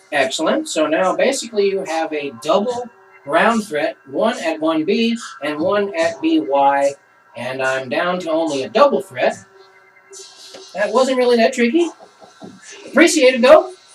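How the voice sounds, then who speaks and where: Over music in the background, a man speaks loudly and fairly slowly at a high pitch, with very wide pitch swings. He takes long, frequent pauses. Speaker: board game player. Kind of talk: game demonstration with commentary.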